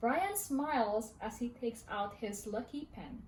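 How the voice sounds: With audible room echo, a woman talks slowly in a slightly mellow tone and lively intonation. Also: fairly high pitch for a woman.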